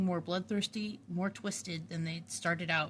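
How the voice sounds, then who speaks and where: A woman's somewhat breathy voice at medium pitch, moderate pace and ordinary pitch variation, on a very clean recording with a silent background. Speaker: author reading own book. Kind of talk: read story, audiobook narration.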